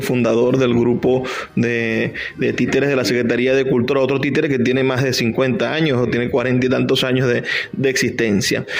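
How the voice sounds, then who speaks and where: A man at a medium pitch with fairly even intonation and very even loudness, against noticeable background noise. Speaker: radio host. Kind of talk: radio interview host.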